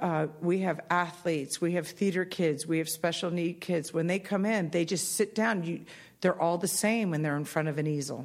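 A woman with a plain, everyday voice talks at a moderate pace and a fairly low pitch, her intonation fairly even and her loudness very even. The recording is very clean with a silent background. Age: 50s. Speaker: artist. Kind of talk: interview. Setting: studio.

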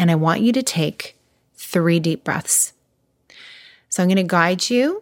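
In a very clean recording with a silent background, a woman with an unremarkable speaking voice talks at a fairly low pitch with ordinary variation. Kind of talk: guided meditation.

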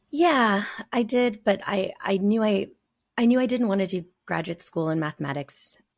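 With an American accent, a woman talks at a fairly slow pace with vocal fry and lively intonation on a very clean recording with a silent background. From US Southwest, rural southern Arizona near Mexican border. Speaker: software engineer. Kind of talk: casual interview.

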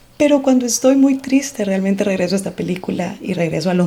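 A woman of medium pitch speaks with lively intonation over noticeable background noise. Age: 40s. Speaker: podcast host. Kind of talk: personal reflection monologue.

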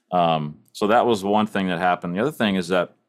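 A man speaks with a Texan accent at a very deep, low pitch. He talks at a fairly quick pace on a very clean recording with a silent background. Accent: Texan US Southern. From East Texas. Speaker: church audio director. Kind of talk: casual chat.

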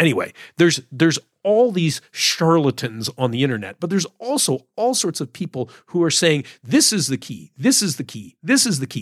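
A fairly high-pitched man with vocal fry and very wide pitch swings at a moderate pace, on a very clean recording with a silent background. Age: 60s. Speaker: decathlon coach. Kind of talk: solo podcast monologue. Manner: casual, halting with fillers.

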